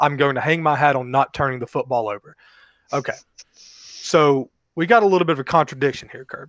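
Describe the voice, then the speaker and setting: A man speaks in a plain, everyday voice with an American accent, his pitch fairly high, the sound dry and close with no echo. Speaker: sports podcast co-host. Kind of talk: casual chat.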